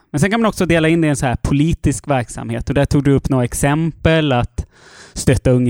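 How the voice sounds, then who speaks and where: A man talks fairly quickly in a normal speaking voice. His pitch shifts in an ordinary way. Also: dry, close sound with no echo. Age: 30s. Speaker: chair of a national activist federation. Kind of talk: interview conversation.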